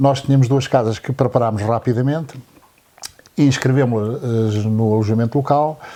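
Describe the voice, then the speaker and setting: Here a man talks at a moderate pace. His medium pitch holds fairly even intonation. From Angola. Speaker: accountant and local lodging owner. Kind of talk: interview. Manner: halting.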